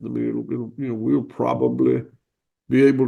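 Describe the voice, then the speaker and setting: A man with a slight Southern US accent at a fairly quick pace. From US South. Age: 60s. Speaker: cattle farmer. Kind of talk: interview. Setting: video call. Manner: halting.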